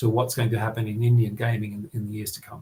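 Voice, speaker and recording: A man talks with an Australian accent. His voice is somewhat breathy. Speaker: journalist, regional editor. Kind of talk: podcast interview. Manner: halting, many fillers and repetitions.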